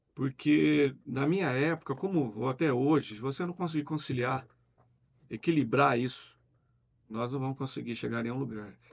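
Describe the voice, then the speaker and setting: A man talks at a medium pitch and a moderate pace. His is an unremarkable speaking voice with ordinary pitch variation. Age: 60s. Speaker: business owner. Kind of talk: interview.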